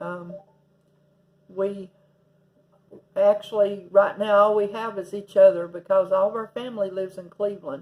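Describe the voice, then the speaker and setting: In an East Tennessee accent, a woman speaks at a moderate pace and medium pitch. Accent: Southern US (East Tennessee). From US South, Tennessee. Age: 60s. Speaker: vlogger. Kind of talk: casual vlog monologue. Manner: halting, many fillers.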